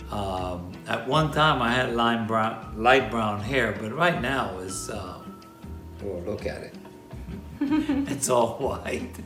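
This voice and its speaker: A man at a medium pitch, speaking very slowly over music in the background. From Puerto Rico. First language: Spanish. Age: 80s+. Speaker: Vietnam War veteran. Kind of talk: casual talk to camera.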